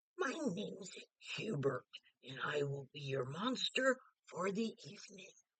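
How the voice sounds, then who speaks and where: The speaker uses a put-on character voice at a middle pitch. Delivery is fairly slow, with very wide pitch swings. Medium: read story.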